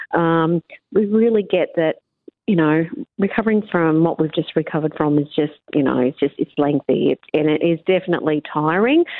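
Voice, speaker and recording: A woman with a fairly low pitch and an Australian accent at a fairly quick pace. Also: ordinary pitch variation, very even loudness. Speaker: mayor. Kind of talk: radio interview. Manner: upbeat.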